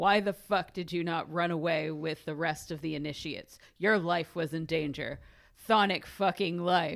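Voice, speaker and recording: This put-on character voice is raspy and gravelly, with an angry tone. It sits at a middle pitch and moves at a moderate pace. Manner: bellowing, angry.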